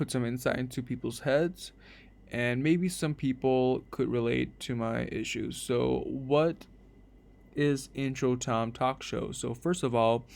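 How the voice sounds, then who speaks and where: Over a very clean recording with a silent background, a man speaks at medium pitch with fairly even intonation. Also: fairly slow pace. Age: 20s. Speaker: podcast host, college student. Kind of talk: casual monologue podcast. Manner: halting, many fillers.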